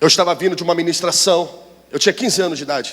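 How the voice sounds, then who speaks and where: At a very fast pace, a man talks in a high pitch. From Brazil, Rio de Janeiro. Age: 30s. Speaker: pastor. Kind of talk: sermon.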